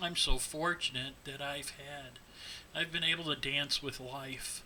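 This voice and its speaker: Against noticeable background noise, a man with an American accent speaks at a fairly slow pace, fairly high in pitch, with monotone, flat intonation. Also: big swings in loudness. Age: 50s. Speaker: teacher with Parkinson's disease. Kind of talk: personal testimony.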